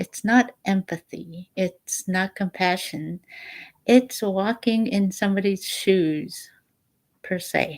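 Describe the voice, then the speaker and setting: Very slow and somewhat breathy, the voice has ordinary pitch variation. The sound is dry and close, with no echo. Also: woman, medium pitch for a woman. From Alaska, Bristol Bay village. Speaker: vlogger sharing spiritual reflections. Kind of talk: personal reflective monologue.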